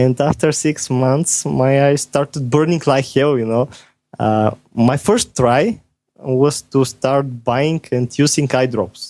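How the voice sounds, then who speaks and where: A man with a non-native accent speaks at medium pitch and a very slow pace. His loudness stays very even, with ordinary pitch variation. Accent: foreign accent, noticeable. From Bulgaria. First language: Bulgarian. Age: 20s. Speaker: software developer. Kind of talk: podcast interview. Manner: halting.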